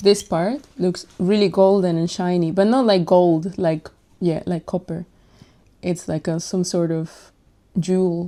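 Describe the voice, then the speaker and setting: A woman speaks at a fairly slow pace with fairly even intonation. Her tone is dark and mellow, and her pitch sits fairly low. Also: very clean recording, silent background. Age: 20s. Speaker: lifestyle vlogger. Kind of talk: casual vlog show-and-tell. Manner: musing, casual.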